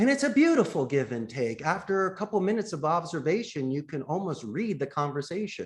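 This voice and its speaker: Here a man talks with a Philadelphia accent. His pitch moves in an ordinary way. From US, Philadelphia. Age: 50s. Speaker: call center CEO. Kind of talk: podcast interview.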